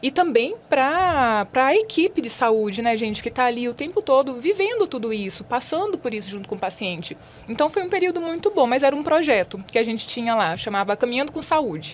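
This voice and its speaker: Against noticeable background noise, a woman talks fairly quickly in a high pitch with very wide pitch swings and hardly any pauses. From Brazil, far south of Bahia. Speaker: nursing professor. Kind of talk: podcast interview.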